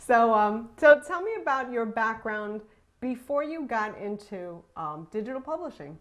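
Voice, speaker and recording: A woman speaks fairly slowly in a slight Brooklyn accent, her pitch fairly high and swinging very widely. Her loudness rises and falls a lot against a quiet background. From Brooklyn, New York. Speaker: podcast host, online marketer. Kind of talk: interview. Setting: video call. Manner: animated.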